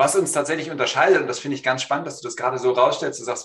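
A man at a very fast pace. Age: 40s. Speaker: business consultant. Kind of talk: online panel discussion.

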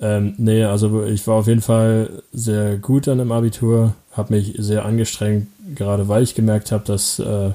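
A man speaks at a moderate pace with a fairly low pitch. His intonation is monotone and flat, and his loudness stays very even. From Brandenburg, Germany (Falkensee near Berlin). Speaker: podcast co-host, interviewed as guest. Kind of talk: casual interview.

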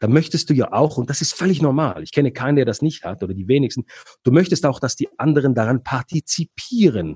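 A man talks very fast at a fairly high pitch, his dark, mellow tone carrying lively intonation and vocal fry. The sound is dry and close, with no echo. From Switzerland. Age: 40s. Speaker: entrepreneur and negotiator, former radiologist. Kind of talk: interview.

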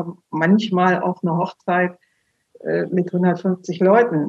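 A woman with a fairly low pitch and monotone, flat intonation. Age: 50s. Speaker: funeral speaker. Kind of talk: interview.

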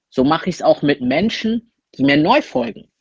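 A man with a plain, everyday voice, a fairly high pitch, and lively intonation, in a dry, close sound with no echo. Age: 20s. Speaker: content creator. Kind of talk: recorded monologue.

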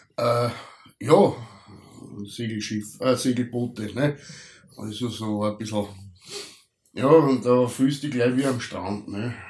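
A man with an Austrian accent speaks at a very slow pace, leaving long, frequent pauses. His pitch is medium, with ordinary pitch variation. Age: middle-aged. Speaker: podcast co-host. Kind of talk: casual chat. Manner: halting.

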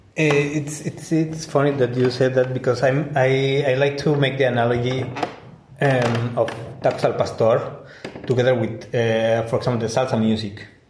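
Medium-pitched male speech at a moderate pace, with fairly even intonation, very even loudness and noticeable background noise. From Mexico. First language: Spanish. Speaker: engineer and taco caterer. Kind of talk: casual interview. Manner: halting, repeats words.

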